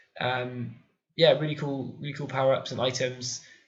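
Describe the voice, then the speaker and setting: With audible room echo, a man talks at a fairly quick pace in a medium pitch. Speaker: video game YouTuber. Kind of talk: casual video countdown review. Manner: hesitant, many fillers.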